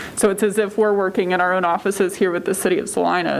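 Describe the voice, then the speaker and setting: A woman talks at a very fast pace. Noticeable background noise runs underneath. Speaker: engineering consultant. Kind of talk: public meeting presentation. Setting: city commission meeting. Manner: loud.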